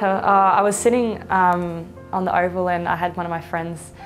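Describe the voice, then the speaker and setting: Clear music plays behind a woman with a fairly low pitch. She talks at a fairly quick pace with ordinary pitch variation. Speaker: interviewee. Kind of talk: interview answer. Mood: light, amused storytelling. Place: home room. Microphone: lapel.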